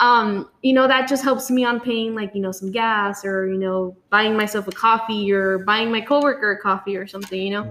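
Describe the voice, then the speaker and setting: Speaking at a fairly quick pace in a South Texas accent, a woman uses a fairly high pitch with ordinary pitch variation. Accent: South Texas Mexican-American English. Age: 20s. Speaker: small business owner. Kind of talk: casual chat.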